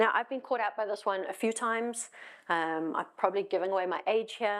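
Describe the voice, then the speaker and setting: In a very clean recording with a silent background, a woman speaks with a South African accent. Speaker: tech executive. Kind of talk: conference talk. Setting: stage with audience. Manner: fast.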